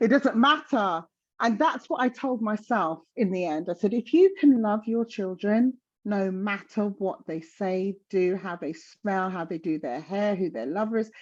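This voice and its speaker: With a South London accent, a woman speaks fairly slowly at medium pitch. Her intonation is lively, and the background is quiet. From South London, England. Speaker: menopause guest speaker. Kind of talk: casual chat.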